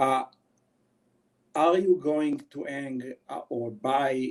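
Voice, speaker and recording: Very slowly, a man with a dark, mellow tone speaks at a medium pitch with fairly even intonation. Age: 40s. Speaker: wildlife photographer. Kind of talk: webinar presentation. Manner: hesitant, many fillers.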